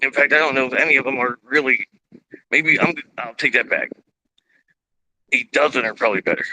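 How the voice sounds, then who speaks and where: A loud man with a bright, sharp tone and long, frequent pauses, in a dry, close sound with no echo. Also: medium pitch for a man, fairly quick pace. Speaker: political video streamer. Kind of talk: live political monologue. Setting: outdoors. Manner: animated.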